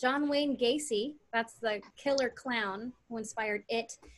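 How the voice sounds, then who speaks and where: At a very slow pace, a woman with an American accent speaks in a high pitch with lively intonation. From US, Nicaraguan heritage. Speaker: stand-up comedian. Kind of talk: stand-up.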